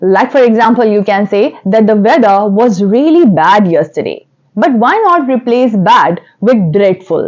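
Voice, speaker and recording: Keeping a very even loudness, a woman talks at a fairly slow pace in a fairly high voice with lively intonation. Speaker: English teacher. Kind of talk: tutorial. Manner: animated.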